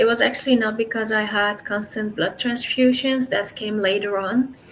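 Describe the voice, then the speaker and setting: A woman's fairly high voice at a moderate pace with fairly even intonation, over noticeable background noise. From Netherlands. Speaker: sickle cell patient. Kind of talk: interview. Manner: halting.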